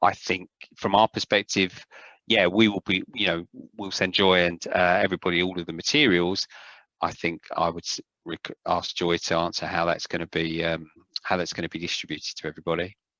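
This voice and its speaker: A man speaks fairly quickly with a South London accent and a very deep, low pitch. His intonation stays fairly even against a quiet background. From South London, England. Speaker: publishing trainer presenting online courses. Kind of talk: Q&A session in a video-call seminar. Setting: video call. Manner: hesitant, many fillers.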